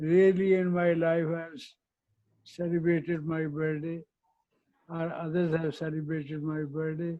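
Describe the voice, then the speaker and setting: Here a man with a fairly high pitch talks at a fairly slow pace. His tone is dark and mellow, and his intonation is monotone and flat. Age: 80s+. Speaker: retired company chairman. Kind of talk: keynote speech.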